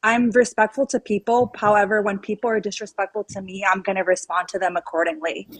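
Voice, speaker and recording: A woman talks at a very fast pace with hardly any pauses, her pitch medium and her pitch variation ordinary. The sound is dry and close, with no echo. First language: not English. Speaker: livestream panel guest. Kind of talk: heated debate. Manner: halting.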